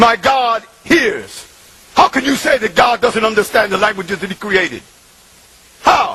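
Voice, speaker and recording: Noticeable background noise sits behind a man whose voice is high-pitched and animated in tone. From New York City, Bronx (Puerto Rican). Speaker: convert speaker. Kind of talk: testimony. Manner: emphatic, animated.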